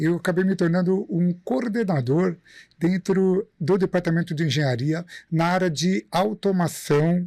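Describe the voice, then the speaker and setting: In a very clean recording with a silent background, a man speaks at a fairly slow pace with a high pitch, a dark, mellow tone, ordinary pitch variation and very even loudness. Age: 50s. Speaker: industrial maintenance engineer and teacher. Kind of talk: podcast interview.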